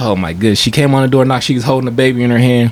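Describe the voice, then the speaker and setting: A soft-spoken man at a very fast pace, with noticeable background noise. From Stockton, California. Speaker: rapper. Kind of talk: casual chat, storytelling. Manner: soft-spoken, laid back; halting, many fillers.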